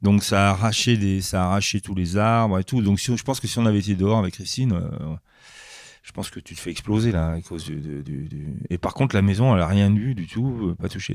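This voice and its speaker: A fairly low-pitched man at a fairly quick pace, with ordinary pitch variation. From France, Grenoble. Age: 60s. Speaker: comic book artist. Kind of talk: interview. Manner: halting, many hesitations.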